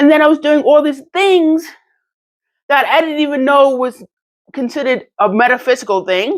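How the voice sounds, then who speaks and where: Speaking at a fairly quick pace, a woman uses a high pitch and a New York accent. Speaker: channel owner, motivational vlogger. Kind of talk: personal testimony monologue. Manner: fast; halting, self-correcting.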